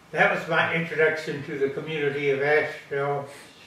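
A man speaks in a monotone with flat intonation, and audible room echo surrounds his voice. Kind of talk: interview answer. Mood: reflective, anecdotal. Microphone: camera far.

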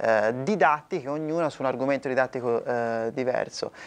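Speaking at a moderate pace with ordinary pitch variation, a man with a slight Florentine accent has a fairly high pitch. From Italy, Florence; Italy. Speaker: singer-songwriter; interviewee. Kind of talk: interview. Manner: halting, many repetitions. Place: hall. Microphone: lapel.

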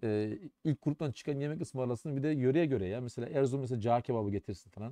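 Against a quiet background with a dry sound and no echo, a man talks at a very fast pace, his dark, mellow tone carrying ordinary pitch variation. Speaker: Arabic lecturer at a theology faculty. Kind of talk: live-stream briefing and Q&A. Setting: live stream. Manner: raising voice to be heard. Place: office. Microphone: too quiet for some viewers; webcam.

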